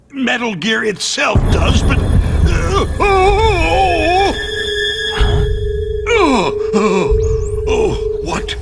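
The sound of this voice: A man does a put-on character voice at an extremely high pitch, with vocal fry and big pitch swings. He talks at a very slow pace over clear music in the background.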